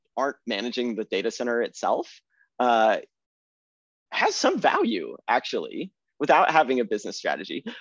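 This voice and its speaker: A man speaks in an American accent at a moderate pace. The sound is dry and close, with no echo. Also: quiet background. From Texas. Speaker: government systems developer. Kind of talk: podcast interview.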